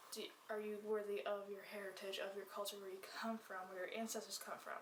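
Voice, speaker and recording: The speaker keeps a moderate pace and fairly even intonation. Noticeable background noise and audible room echo are present. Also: woman. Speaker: book reviewer. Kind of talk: casual chat.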